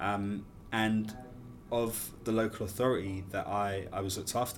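A man at a fairly low pitch and moderate pace, with audible room echo. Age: 30s. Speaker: care leaver and event founder. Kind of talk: interview conversation.

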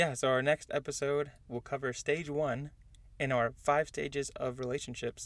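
In a plain, everyday voice, a man with an American accent speaks at a fairly high pitch with fairly even intonation. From Southern California, San Diego. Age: 20s. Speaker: podcast host. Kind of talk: casual chat.

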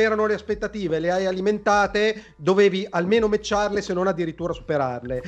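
An animated man speaks with high pitch and lively intonation. His pace is moderate. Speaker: video game commentator. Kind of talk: live-streamed heated debate. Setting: video call.

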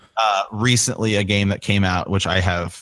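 A man with a Midwestern US accent on a very clean recording with a silent background. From small-town Ohio. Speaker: podcaster. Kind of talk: casual interview chat.

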